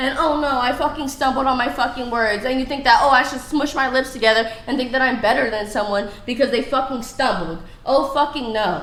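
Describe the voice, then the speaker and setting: Noticeable background noise and audible room echo accompany a woman's raised, projected, high-pitched voice at a moderate pace. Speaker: dating show guest. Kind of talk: heated debate. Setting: studio. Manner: loud.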